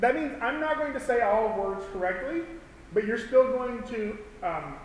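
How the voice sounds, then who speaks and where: In a Southern US accent, a man speaks with lively intonation at a fairly slow pace, with noticeable background noise and audible room echo. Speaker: animation instructor. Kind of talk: tutorial. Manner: halting.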